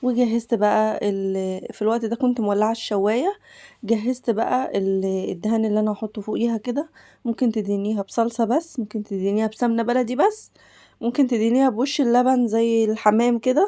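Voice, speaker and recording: In a very clean recording with a silent background, a woman with an Egyptian accent speaks at a moderate pace in a fairly high voice, her dark, mellow tone held to fairly even intonation. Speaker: cooking channel host. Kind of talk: cooking tutorial. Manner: casual, chatty.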